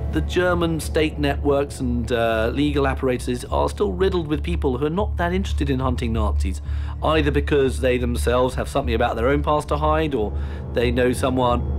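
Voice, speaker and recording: Faint music plays behind a man speaking at a fairly quick pace in a very deep, low pitch. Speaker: interviewed historian or commentator. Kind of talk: interview answer. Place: home room.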